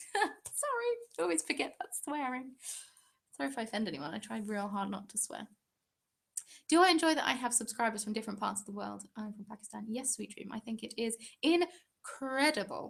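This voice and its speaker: At a fairly quick pace, a woman with a southern English accent talks in a fairly high, somewhat breathy voice. Her intonation is lively, and her loudness swings widely. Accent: British, southern English. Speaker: craft YouTuber. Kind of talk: live stream Q&A chat. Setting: live stream. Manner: animated.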